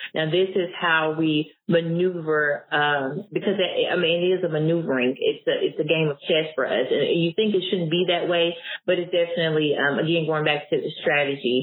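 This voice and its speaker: A woman with an Arkansas accent speaks at a moderate pace and fairly low pitch, barely pausing, her loudness very even and her intonation fairly level. Noticeable background noise runs under her voice. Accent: Southern US (Arkansas). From US South, Blytheville, Arkansas. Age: 30s. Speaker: grant consultant and business founder. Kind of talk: interview conversation.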